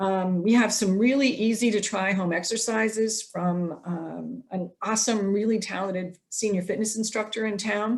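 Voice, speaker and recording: In a plain, everyday voice, the speaker keeps a moderate pace with hardly any pauses and fairly even intonation. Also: woman, fairly high pitch for a woman. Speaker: program host. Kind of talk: presentation over Zoom. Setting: video call.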